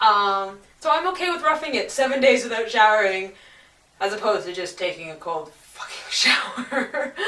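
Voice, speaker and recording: Lively intonation from a woman at a fairly slow pace, with noticeable background noise. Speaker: traveller. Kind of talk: casual talk to camera.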